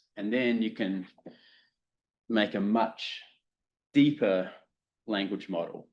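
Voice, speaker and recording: Fairly low in pitch, a man speaks at a fairly slow pace with a New Zealand accent. His intonation is fairly even. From New Zealand, South Island. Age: 40s. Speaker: professor. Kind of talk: lecture.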